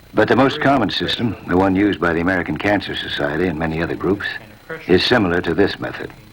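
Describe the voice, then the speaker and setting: Against noticeable background noise, a man with a very deep, low pitch speaks very fast with ordinary pitch variation. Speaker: narrator. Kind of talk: educational film narration.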